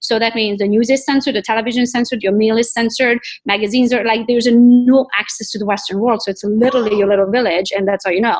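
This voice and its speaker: A woman with a Romanian accent talks at a very fast pace with hardly any pauses, using a fairly high voice and fairly even intonation. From Romania, Transylvania. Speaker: real estate agent. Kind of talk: interview, life story.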